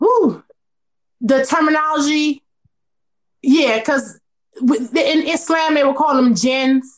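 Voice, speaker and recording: A woman at a high pitch and very slow pace, with long, frequent pauses, very even loudness, and ordinary pitch variation. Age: 30s. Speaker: entrepreneur and author. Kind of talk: casual interview chat.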